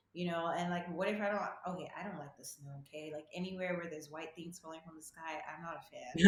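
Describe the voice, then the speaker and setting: Against noticeable background noise, a woman speaks at a very fast pace with hardly any pauses, her fairly low voice monotone and flat but swinging widely in loudness. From Nigeria. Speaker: medical student. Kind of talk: casual interview.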